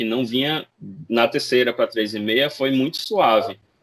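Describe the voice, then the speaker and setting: This man has a plain, everyday voice pitched at a medium level. He keeps a moderate pace and varies his pitch in an ordinary way. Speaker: RPG translator. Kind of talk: casual chat.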